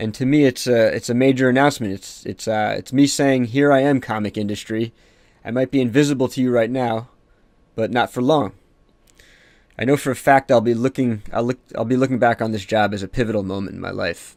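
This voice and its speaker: A man with a plain, everyday voice speaks at a fairly quick pace and medium pitch. His intonation is fairly even. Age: 30s. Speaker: podcast host and comic artist. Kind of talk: podcast intro monologue. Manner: casual, with frequent fillers and repeats.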